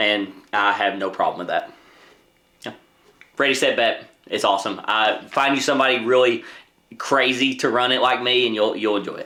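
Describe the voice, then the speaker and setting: A loud man with a medium pitch and a bright, sharp tone talks at a moderate pace, leaving long, frequent pauses. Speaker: board game youtuber. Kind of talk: casual chat. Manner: animated.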